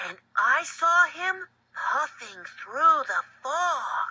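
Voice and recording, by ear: Someone drags out an extremely high-pitched cartoonish character voice at a very slow pace.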